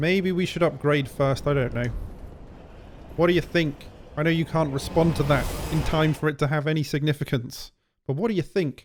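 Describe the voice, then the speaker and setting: The speech moves at a fairly quick pace, broken by long, frequent pauses. Music plays in the background. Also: man, fairly high pitch for a man. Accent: British. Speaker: let's play gamer. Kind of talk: gameplay commentary. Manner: casual, excitable.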